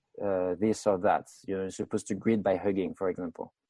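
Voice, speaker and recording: Against a quiet background, a man's dark, mellow tone comes through in a dry, close sound with no echo. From France. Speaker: research scientist and clinical trainer. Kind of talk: podcast interview. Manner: halting, many fillers.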